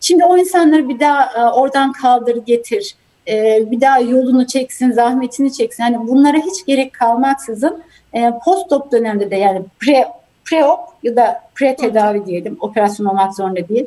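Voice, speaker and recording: Pitched high, a woman speaks with a dark, mellow tone and lively intonation. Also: moderate pace. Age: 40s. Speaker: healthcare executive. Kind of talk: interview.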